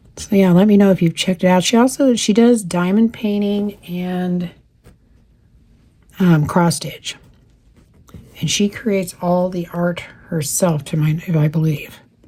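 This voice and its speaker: A quiet woman with an American accent speaks at a fairly slow pace and medium pitch. Her pitch variation is ordinary, and she leaves long, frequent pauses. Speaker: cross stitch youtuber. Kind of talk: casual chat while crafting. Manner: talking quietly.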